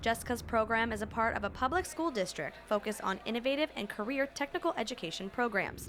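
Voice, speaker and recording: With an American accent and a normal speaking voice, a woman of fairly high pitch talks at a fairly quick pace, using lively intonation and hardly any pauses. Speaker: television reporter and anchor. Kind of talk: broadcast news reporting.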